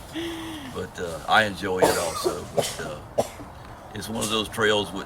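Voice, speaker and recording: A man's fairly low voice at a moderate pace, fairly even in intonation, with big swings in loudness, noticeable background noise and audible room echo. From US South, south Georgia near Florida line. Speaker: long-distance hiker. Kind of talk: interview. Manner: halting.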